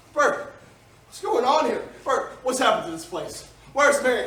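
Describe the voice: A man puts on a character voice with an extremely high pitch and a bright, sharp tone, swinging his pitch widely. He speaks at a fairly slow pace in a room with strong echo.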